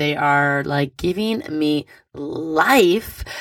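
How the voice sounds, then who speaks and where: Here is a woman speaking. Her intonation is lively. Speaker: astrology podcast host. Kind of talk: weekly astrology forecast monologue. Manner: animated; casual.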